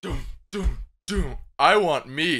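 This is a put-on character voice that sounds raspy. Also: man, fairly high pitch for a man. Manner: monstrous, comic.

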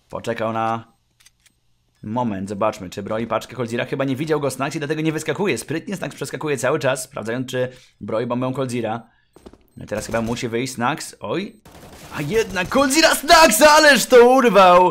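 A man's fairly high, animated voice with lively intonation. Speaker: esports commentator. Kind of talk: live esports commentary, play-by-play of a CS:GO match. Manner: excitable, animated, rapid-fire with bursts of amazement; joking, quips mid-play.

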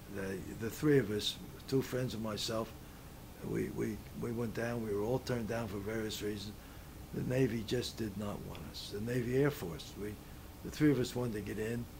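A man with an American accent at a moderate pace, somewhat breathy, with long, frequent pauses and noticeable background noise. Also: medium pitch for a man, fairly even intonation. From Philadelphia, US Northeast. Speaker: World War II veteran. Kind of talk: oral-history interview, recalling life story. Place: home room.

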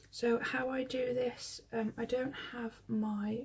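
The voice belongs to a woman. She shows ordinary pitch variation. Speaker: planner hobby vlogger. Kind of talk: casual tutorial chat. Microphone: phone near.

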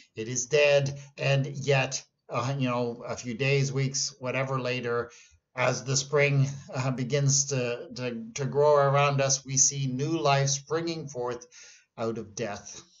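Somewhat breathy, a man speaks at a very slow pace in a monotone, flat intonation. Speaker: pastor. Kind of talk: devotional talk. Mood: earnest, reflective. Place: office. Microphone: webcam.

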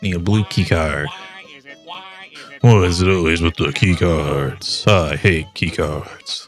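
A man uses a put-on character voice with a very deep, low pitch, speaking at a fairly slow pace. Long, frequent pauses break up his speech, and faint music plays in the background. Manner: cocky, annoyed, joking.

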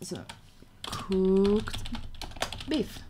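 Noticeable background noise runs under this recording. A woman talks at a medium pitch. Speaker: gaming streamer. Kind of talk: casual live gameplay stream chat. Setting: home computer livestream. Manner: chatty, excitable. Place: home room.

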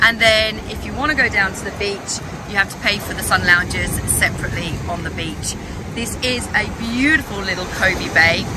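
With music in the background, a woman is heard in a dry sound with no echo. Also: ordinary pitch variation, moderate pace. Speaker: travel guide vlogger. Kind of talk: casual vlog chat. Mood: cheerful, enthusiastic. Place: waterside. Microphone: phone near.

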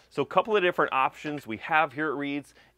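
A man talks at a fast pace and medium pitch with a bright, sharp tone.

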